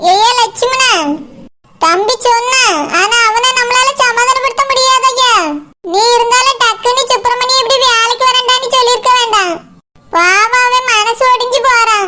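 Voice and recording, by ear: A put-on character voice, bright and sharp in tone, with fairly even intonation at a moderate pace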